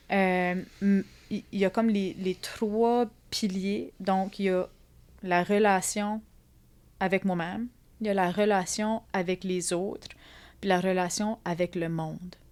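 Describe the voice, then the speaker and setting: Speaking in an Acadian accent, a woman talks at a very slow pace with long, frequent pauses. Her medium-pitched voice stays monotone and flat. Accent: Acadian French, noticeable. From Acadia (Atlantic Canada). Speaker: psychologist and art therapist. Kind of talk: interview conversation. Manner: hesitant, many fillers and repetitions.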